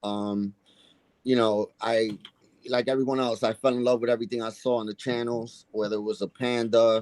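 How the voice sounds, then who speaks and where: A man with a New York accent speaks at a moderate pace with ordinary pitch variation, the sound dry and close with no echo. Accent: heavy New York. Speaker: coin collecting youtuber. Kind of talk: casual chat.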